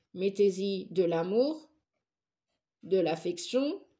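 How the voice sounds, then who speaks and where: A woman of medium pitch speaks at a very slow pace in a dark, mellow tone. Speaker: tarot reader and psychic. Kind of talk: tarot reading monologue. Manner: animated.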